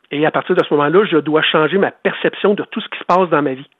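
A man with a Quebec accent and a fairly high pitch. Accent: Québécois French. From Quebec, Eastern Townships. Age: 50s. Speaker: former hockey goalie, author. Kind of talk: interview. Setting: phone call.

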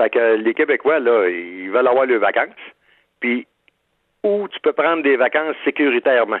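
A man talks at a moderate pace and medium pitch, with lively intonation. He leaves long, frequent pauses. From Quebec, Shawinigan-Sud. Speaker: outfitter owner. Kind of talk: phone interview. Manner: halting, repeats words.

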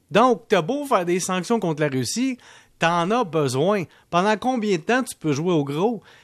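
Over a quiet background, a man with a Quebec accent talks at a moderate pace, his pitch swinging very widely. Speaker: economics columnist. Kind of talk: radio commentary segment.

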